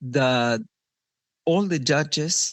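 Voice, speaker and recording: Speaking very slowly with a non-native accent, a man uses lively intonation. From Argentina. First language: Spanish. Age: 50s. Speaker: parent in a family court case. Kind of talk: podcast interview. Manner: hesitant, with fillers.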